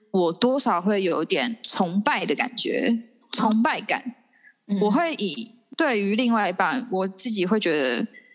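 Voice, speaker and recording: A woman's fairly high voice with very wide pitch swings, a fairly slow pace, and very even loudness. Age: 20s. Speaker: podcast guest. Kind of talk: casual chat.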